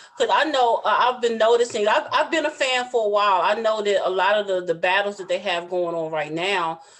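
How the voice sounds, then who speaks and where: Noticeable background noise surrounds a woman speaking in a Southern US accent. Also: medium pitch for a woman, lively intonation, fairly quick pace, hardly any pauses. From US South. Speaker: podcast host. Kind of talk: casual interview.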